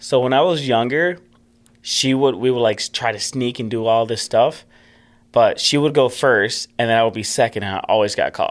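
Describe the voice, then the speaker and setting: A plain, everyday voice from a man, medium in pitch with ordinary pitch variation, at a moderate pace, in a very clean recording with a silent background. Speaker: ice hockey player. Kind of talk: casual interview.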